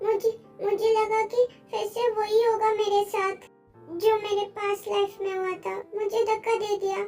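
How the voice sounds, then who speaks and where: In a put-on character voice, a woman talks at a moderate pace with an extremely high pitch and monotone, flat intonation, faint music playing in the background. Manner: distressed, tearful.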